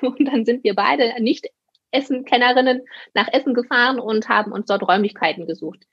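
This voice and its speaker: A woman's high-pitched voice moves at a moderate pace, its pitch rising and falling in an ordinary way. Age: 30s. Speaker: occupational therapist and practice owner. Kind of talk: casual interview.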